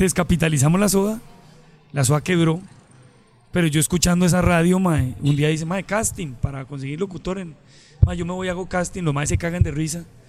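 The man's voice is high-pitched with ordinary pitch variation, moving at a fairly quick pace broken by long, frequent pauses. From Colombia, Medellín. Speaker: comedian and radio host. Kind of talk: casual chat.

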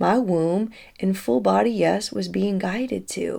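A woman with a Southern US accent speaks in a very clean recording with a silent background. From Tennessee. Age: 30s. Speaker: spiritual podcast host. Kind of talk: casual storytelling monologue; guided breathwork. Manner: animated.

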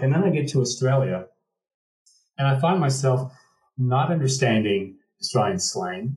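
This man has an American accent and a somewhat breathy medium-pitched voice. He moves at a moderate pace with ordinary pitch variation. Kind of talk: casual chat.

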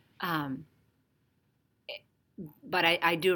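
The voice has a bright, sharp tone and comes with a Spanish accent. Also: woman. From Dominican Republic. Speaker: podcast co-host, developmental therapist. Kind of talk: casual conversation.

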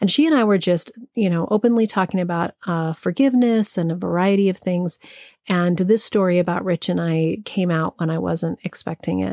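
Her tone dark and mellow, a woman with an American accent talks at a fairly quick pace. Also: fairly low pitch for a woman, ordinary pitch variation, very clean recording, silent background. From Santa Fe, New Mexico, US. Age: 50s. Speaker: podcast host and spiritual teacher. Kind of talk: personal storytelling monologue.

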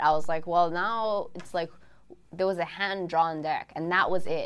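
A woman with a Hawaiian accent and fairly even intonation. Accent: Hawaii local English. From Hawaii, windward Oahu (Kaneohe). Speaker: card game creator. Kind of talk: interview. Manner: casual, many fillers.

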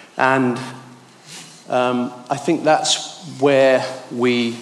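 Noticeable background noise sits behind the recording. The speaker is a man. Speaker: church speaker. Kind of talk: devotional talk. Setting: church.

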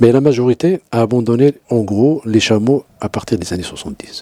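At a fairly slow pace, a man speaks at medium pitch in an unremarkable speaking voice, with a dry, close sound and no echo. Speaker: anthropologist, university professor. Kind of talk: interview, expert explanation.

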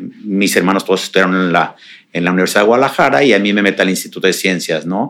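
At a very fast pace, a man speaks in a fairly low pitch. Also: ordinary pitch variation. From Mexico, Jalisco (Tapalpa). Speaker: real estate developer. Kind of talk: interview.

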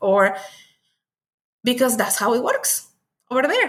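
With ordinary pitch variation, a woman talks in a high pitch. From Mexico. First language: Spanish. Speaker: author and witchcraft practitioner. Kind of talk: casual interview chat.

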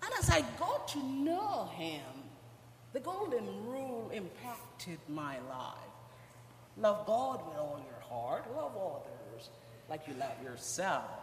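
A woman speaks at a very slow pace with audible room echo. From Guyana. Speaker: church member. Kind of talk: testimony. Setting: church.

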